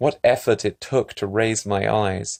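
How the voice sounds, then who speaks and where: At a moderate pace and a fairly low pitch, a man talks over a quiet background. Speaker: ASMR creator. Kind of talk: philosophical text reading, ASMR-style.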